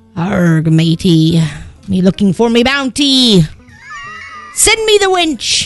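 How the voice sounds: In a put-on character voice, a female-sounding speaker at medium pitch for a woman talks at a fairly slow pace, with faint music in the background.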